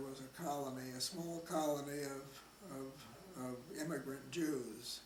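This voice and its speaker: A speaker with a Midwestern US accent is heard over noticeable background noise and audible room echo. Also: man. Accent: US Midwest. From Nebraska, Omaha. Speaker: oral history interviewee. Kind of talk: oral history interview. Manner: halting, repeats words.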